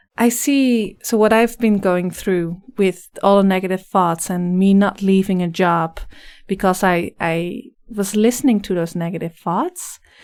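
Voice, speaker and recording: A woman with a slight Dutch accent speaks at a fairly slow pace and medium pitch on a very clean recording with a silent background. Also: ordinary pitch variation. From Netherlands. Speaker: life coach. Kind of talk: podcast interview.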